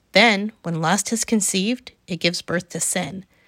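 A woman speaks at medium pitch in a plain, everyday voice with ordinary pitch variation. The recording is very clean, with a silent background and a dry, close sound with no echo. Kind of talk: literary audiobook reading of scripture, measured and even, steady devotional cadence. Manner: calm, unhurried, warm and reverent, clear pacing.

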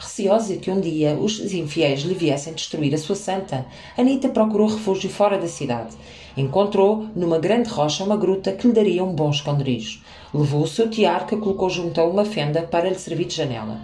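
Against noticeable background noise and audible room echo, a woman with a fairly low voice speaks at a moderate pace with lively intonation. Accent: Lisbon. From Portugal, Lisbon. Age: 40s. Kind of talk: reading aloud.

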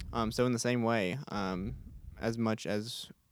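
A very clean recording against a silent background, the pitch varying in an ordinary way. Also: man. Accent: Texan. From Texas, Houston. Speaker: college student leader. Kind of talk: casual faith discussion. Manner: hesitant, many fillers.

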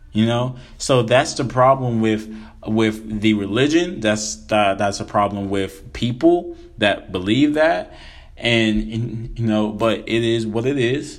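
A man speaks very slowly at a medium pitch, with ordinary pitch variation. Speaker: religious podcaster. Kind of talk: casual solo religious talk.

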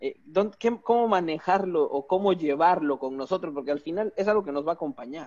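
At a fairly quick pace and with hardly any pauses, a man talks in a high pitch with ordinary pitch variation. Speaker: podcast host. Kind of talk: interview conversation.

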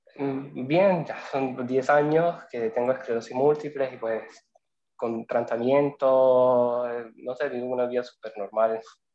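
At a very slow pace, a man speaks in a medium pitch with fairly even intonation. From Venezuela. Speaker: lawyer and migration student. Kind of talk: casual interview. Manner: halting, repeats words.

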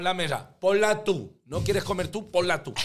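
A man talking at a fairly slow pace. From Spain, La Mancha (Tomelloso). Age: 50s. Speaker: comedian and singer. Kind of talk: casual chat.

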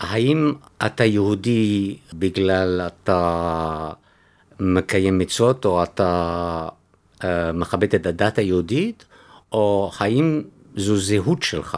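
A man's very deep, low pitch with a French accent, ordinary pitch variation and very even loudness, at a very slow pace with long, frequent pauses, in a very clean recording over a silent background. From Belgium, Antwerp. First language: French (speaking Hebrew). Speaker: author. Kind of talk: interview. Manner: halting.

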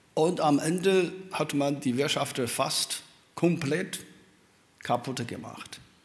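Amid audible room echo, a man with a fairly high voice and ordinary pitch variation talks at a very slow pace, with long, frequent pauses. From China. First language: Chinese (speaking German). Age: old. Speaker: professor. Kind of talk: panel talk. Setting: stage with audience.

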